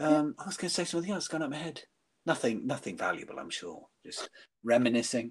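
Talking at a very fast pace, a man uses a fairly high pitch with vocal fry. His intonation is lively, and his volume swings widely. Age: 60s. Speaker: workshop leader. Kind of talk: casual chat. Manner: halting.

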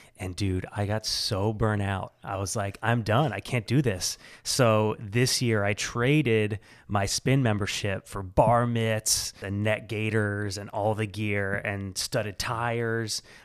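In an American accent, a man talks at a very slow pace with fairly low pitch, fairly even intonation and hardly any pauses. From central Illinois, US Midwest. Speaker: filmmaker and bike party organizer. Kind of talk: casual chat.

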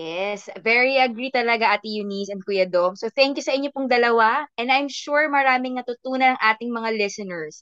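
A woman talks at a fairly quick pace with hardly any pauses. Her fairly high voice shows ordinary pitch variation. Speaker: podcast host. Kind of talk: casual chat. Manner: animated.

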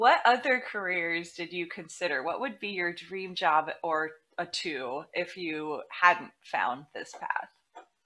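Speaking at a very slow pace with hardly any pauses, a woman with a fairly low pitch uses lively intonation and big swings in loudness. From Big Island, Hawaii. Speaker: podcast host and dance coach. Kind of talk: casual interview chat.

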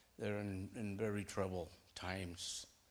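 In an American accent, a man talks with a fairly low pitch and monotone, flat intonation. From Moorpark, California. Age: 60s. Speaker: congregation member giving testimony. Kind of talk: testimony.

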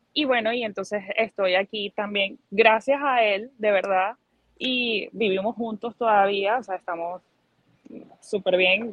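A woman speaks at medium pitch and a fairly slow pace. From Venezuela, Barinas plains (Socopó). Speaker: migrant interviewee. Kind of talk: testimony. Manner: animated.

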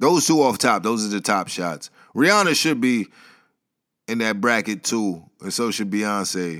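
On a very clean recording with a silent background, a man with a fairly low voice speaks at a fairly slow pace with lively intonation. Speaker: podcast host. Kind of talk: solo monologue podcast. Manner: casual, off the cuff.

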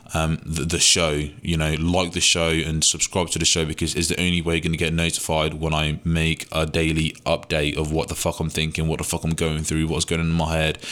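A man with a British accent, very deep and low in pitch, at a fairly quick pace and very even loudness. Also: hardly any pauses. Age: 20s. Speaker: podcast host, young entrepreneur. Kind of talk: casual solo monologue. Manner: energetic, informal.

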